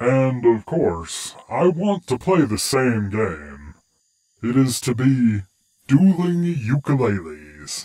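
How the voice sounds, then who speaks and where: Using a put-on character voice, a man speaks at a very slow pace with very wide pitch swings. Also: medium pitch for a man. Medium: audio drama. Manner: smooth, playfully taunting.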